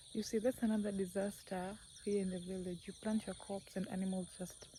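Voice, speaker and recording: Speaking in a flat monotone at a fairly slow pace, a woman with a non-native accent has a medium pitch and a somewhat breathy, dark, mellow tone. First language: not English. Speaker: village life vlogger. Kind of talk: casual vlog monologue. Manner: slow, hesitant with fillers.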